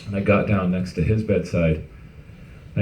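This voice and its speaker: With audible room echo, a man speaks at a moderate pace in a fairly low, somewhat breathy voice that has a dark, mellow tone and ordinary pitch variation. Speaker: company founder. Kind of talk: testimony.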